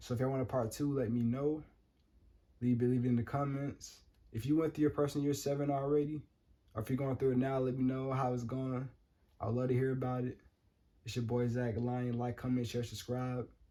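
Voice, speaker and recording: Fairly quick but broken by long, frequent pauses, a man's speech has a dark, mellow tone and monotone, flat intonation. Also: medium pitch for a man. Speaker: numerology vlogger. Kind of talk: casual vlog monologue. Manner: fast; improvised, casual.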